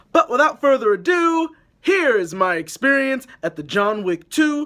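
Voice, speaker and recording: Using a raised, projected voice, a man speaks at a fairly slow pace. His pitch is high, with very wide pitch swings. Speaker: film vlogger. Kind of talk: casual vlog intro. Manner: loud; animated.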